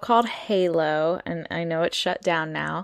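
A woman's animated voice at a fairly slow pace on a very clean recording with a silent background. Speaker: podcast host. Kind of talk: solo storytelling podcast.

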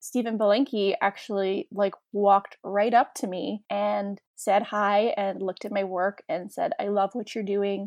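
With a Canadian accent, a woman has an unremarkable speaking voice at a medium pitch with ordinary pitch variation. She speaks at a fairly slow pace with hardly any pauses, the sound dry and close with no echo against a quiet background. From Toronto, Canada. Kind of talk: casual interview chat.

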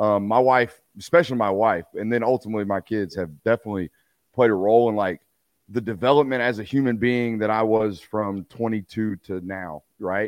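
Against a quiet background, a man speaks at a medium pitch with ordinary pitch variation in a dry, close sound with no echo. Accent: Texan. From Texas. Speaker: sports media personality, former college football player. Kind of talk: casual interview.

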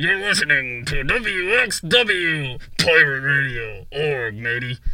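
Put-on character voice from a man, fairly high-pitched and very slow, clear background noise underneath

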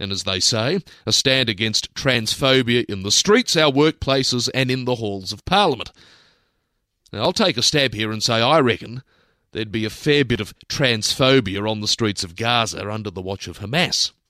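Speaking at a moderate pace with lively intonation, a man with an Australian accent has a medium pitch and a bright, sharp tone, captured in a very clean recording with a silent background and a dry, close sound with no echo. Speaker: radio host. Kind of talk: opinion commentary.

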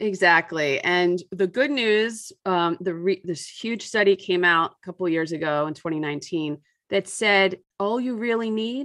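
A woman with a normal speaking voice talks at a fairly low pitch, with ordinary pitch variation and a quiet background. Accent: American. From US suburbs. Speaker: author and environmental parenting writer. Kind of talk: casual interview chat.

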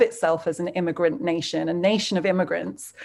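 A woman with a British accent at a fairly quick pace. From England. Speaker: journalist. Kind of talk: interview.

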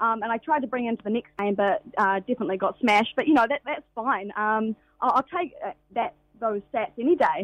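A woman with a New Zealand accent, fairly high pitch, fairly quick pace and lively intonation. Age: 20s. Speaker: professional cricketer. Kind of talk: radio interview. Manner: halting, many fillers.

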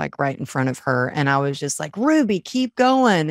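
Animated in tone, a woman with a slight Texan accent speaks at a very deep, low pitch, in a very clean, dry, close recording with a silent background and no echo. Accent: Southern US, Texas, slight. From Texas. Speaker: author and peak performance coach. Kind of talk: casual interview chat. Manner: animated, storytelling.

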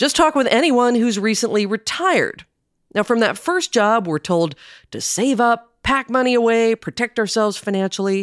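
A woman's fairly high voice at a moderate pace, with lively intonation, a plain, everyday voice, and a dry, close sound with no echo. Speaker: podcast host. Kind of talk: interview and scripted narration.

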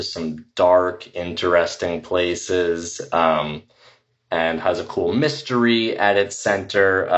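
An unremarkable speaking voice from a man with an American accent, fairly low in pitch with ordinary pitch variation. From New York area, US. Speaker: actor. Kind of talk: casual chat.

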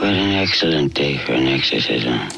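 A raspy, very deep, low put-on character voice from a man, over clear background noise. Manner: scary, campy.

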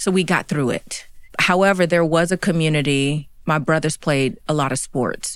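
A woman with an American accent speaks with ordinary pitch variation on a very clean recording with a silent background. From US South, Chattanooga, Tennessee. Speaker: fashion executive and consultant. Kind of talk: interview. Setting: studio.

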